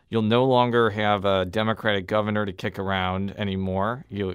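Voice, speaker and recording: The speech runs at a fairly quick pace with monotone, flat intonation. The background is quiet. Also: man. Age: 30s. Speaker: radio reporter and podcast host; radio reporter, podcast host. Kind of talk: interview. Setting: studio. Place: studio.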